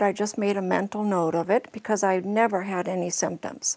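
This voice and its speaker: A woman speaks at a medium pitch and a fairly quick pace. She has an ordinary speaking voice. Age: 60s. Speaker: patient. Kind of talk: testimony.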